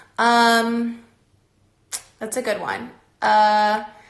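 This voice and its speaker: A voice in an American accent, with audible room echo. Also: woman. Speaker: former pro dance team member giving advice. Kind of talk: live stream Q&A talk. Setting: online live stream.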